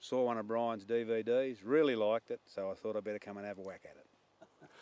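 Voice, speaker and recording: The speaker has an Australian accent and a fairly quick pace. Intonation stays fairly even while loudness swings widely. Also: man, medium pitch for a man. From Australia, New South Wales. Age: 60s. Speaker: hunter. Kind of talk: casual chat.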